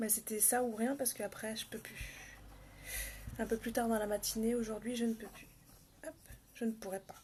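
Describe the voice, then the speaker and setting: A soft-spoken woman with a dark, mellow, somewhat breathy tone talks at a fairly high pitch and a moderate pace. Her intonation is monotone and flat, with long, frequent pauses. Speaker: makeup vlogger. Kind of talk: live makeup tutorial. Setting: home livestream, early morning. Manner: casual, chatty.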